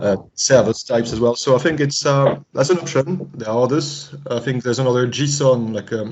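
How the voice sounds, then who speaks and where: A man speaks at a fairly quick pace with a French accent. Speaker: climate researcher. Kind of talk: video conference discussion. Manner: halting.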